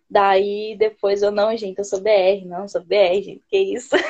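A woman speaks at a fairly high pitch in a dark, mellow tone. Her pace is fairly slow. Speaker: English learner joining a live stream. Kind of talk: casual chat. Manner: hesitant, with many fillers and restarts.

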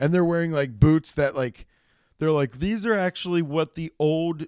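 Recorded very cleanly over a silent background, a man talks at a fairly high pitch with ordinary pitch variation. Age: 30s. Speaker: solo podcast host. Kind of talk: casual solo monologue. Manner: animated, rambling with many restarts.

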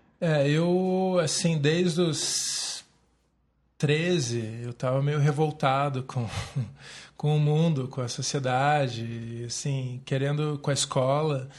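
Very slow and somewhat breathy, a man speaks in a fairly high voice with fairly even intonation. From Brazil, Curitiba. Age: 30s. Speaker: city councillor and yoga teacher. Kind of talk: casual interview.

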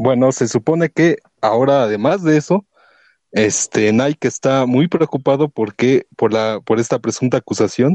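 A man with a dark, mellow tone speaks at a moderate pace and very even loudness, the sound dry and close with no echo against a quiet background. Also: medium pitch for a man, ordinary pitch variation. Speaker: listener participant. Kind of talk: casual chat.

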